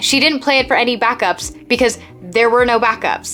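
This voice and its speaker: Over music in the background, a woman with an American accent speaks in an upbeat tone at a fairly high pitch. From United States, Seattle. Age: 20s. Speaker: YouTube creator. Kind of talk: casual talk to camera, self-improvement video. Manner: upbeat, chatty.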